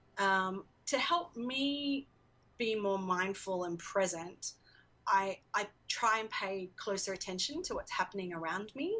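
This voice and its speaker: Speaking at a fairly slow pace, a woman uses lively intonation at a medium pitch with a bright, sharp tone. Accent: Australian. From Australia. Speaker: education organization worker. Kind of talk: interview.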